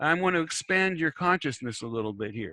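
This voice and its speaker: The pitch makes very wide swings in a bright, sharp tone. The sound is dry and close, with no echo. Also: man. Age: 70s. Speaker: discussion moderator, spiritual counselor. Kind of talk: online group discussion. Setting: online meeting. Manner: halting, many repetitions and false starts.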